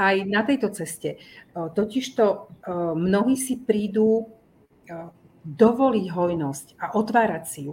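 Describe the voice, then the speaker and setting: With lively intonation and a somewhat breathy, medium-pitched voice, a woman speaks at a very slow pace, with long, frequent pauses and big swings in loudness. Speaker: family therapist and teacher. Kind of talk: casual interview.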